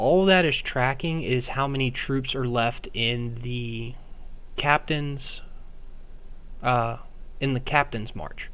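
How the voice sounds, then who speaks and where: There is audible room echo as a man speaks at a very slow pace. He leaves long, frequent pauses and uses ordinary pitch variation. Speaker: game streamer. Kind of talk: live gameplay commentary. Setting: live stream. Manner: casual.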